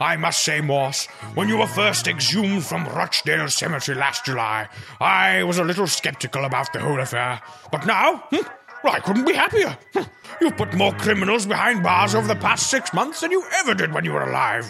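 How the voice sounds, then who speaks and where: A man's fairly quick, fairly high put-on character voice over clear background noise. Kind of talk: comic overacting. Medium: comedy sketch. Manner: plummy, pompous, fond of hmm and ah.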